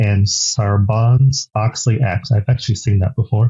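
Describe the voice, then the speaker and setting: A man with an American accent and a somewhat breathy, medium-pitched voice talks at a fairly quick pace with fairly even intonation. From United States. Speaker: podcast host. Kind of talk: interview.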